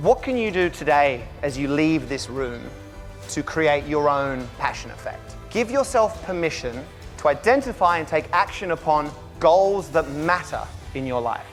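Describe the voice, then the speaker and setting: Over background music, a man with a fairly high voice speaks at a fairly slow pace. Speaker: keynote speaker. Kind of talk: motivational keynote speech. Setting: conference stage.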